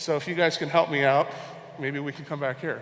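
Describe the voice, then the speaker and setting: Over noticeable background noise, a man talks with a Hawaiian accent. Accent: American (Hawaii). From Hawaii, Honolulu. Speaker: conference speaker, e-commerce researcher. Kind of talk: conference talk. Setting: stage with audience.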